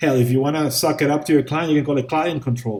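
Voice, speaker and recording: A man with a non-native accent talks at a fairly quick pace in a dark, mellow tone. His voice is somewhat breathy, with ordinary pitch variation. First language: not English. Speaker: VFX instructor. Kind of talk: tutorial. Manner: casual, conversational with fillers.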